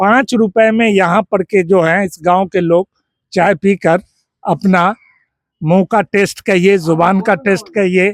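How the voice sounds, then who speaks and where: The man's pitch is high and his loudness very even. His sound is dry and close, with no echo. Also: fairly even intonation. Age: 60s. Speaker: villager interviewed by reporter. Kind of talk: street interview. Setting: outdoors at village tea stall.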